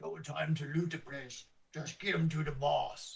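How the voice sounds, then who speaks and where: Putting on a gravelly character voice with a fairly high pitch, a man speaks at a moderate pace. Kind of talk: terse, gruff.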